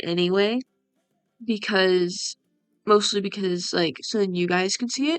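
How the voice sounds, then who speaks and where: A woman speaking with music in the background. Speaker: gaming youtuber. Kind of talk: casual gameplay commentary. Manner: soft-spoken, talking quieter. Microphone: voice a bit quiet.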